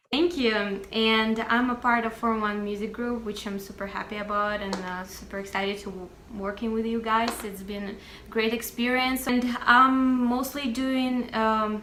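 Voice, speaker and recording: A woman with a fairly high pitch talks at a moderate pace with fairly even intonation. Audible room echo and noticeable background noise surround her. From Russia. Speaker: music marketing professional and singer-songwriter. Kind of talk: interview.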